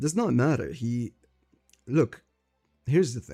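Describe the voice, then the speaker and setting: Dark and mellow in tone, a man with a non-native accent speaks at a moderate pace with ordinary pitch variation. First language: not English. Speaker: streamer discussing manga. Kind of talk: live stream commentary. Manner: halting.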